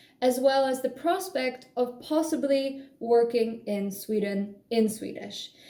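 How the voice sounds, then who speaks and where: With a Polish accent, a dark, mellow voice moves at a very slow pace with hardly any pauses and ordinary pitch variation. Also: woman, high pitch for a woman. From Poland. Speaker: language-learning vlogger. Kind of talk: casual vlog monologue. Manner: animated.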